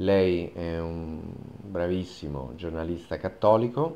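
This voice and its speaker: A man's very deep, low voice, dark and mellow in tone, with ordinary pitch variation. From Italy. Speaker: journalist. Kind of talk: open video appeal. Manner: formal. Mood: earnest, calm, persuasive. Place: studio.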